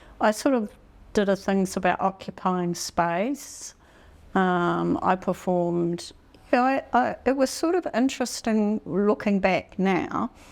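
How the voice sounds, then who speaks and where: On a very clean recording with a silent background, a woman in a New Zealand accent speaks at medium pitch and a fairly slow pace, her intonation lively and her loudness very even. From New Zealand, Taranaki. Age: 60s. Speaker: photographer. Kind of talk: interview. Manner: halting.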